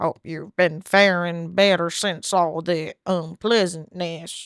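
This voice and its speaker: A put-on character voice at a middle pitch speaks at a fairly slow pace. The recording is very clean, with a silent background. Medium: solo performance. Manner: folksy, plainspoken.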